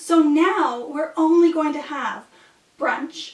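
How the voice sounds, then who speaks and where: A woman speaks in a high voice. Audible room echo surrounds her. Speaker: actor in a comedy scene. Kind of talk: scripted comedic dialogue. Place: kitchen. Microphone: camera far.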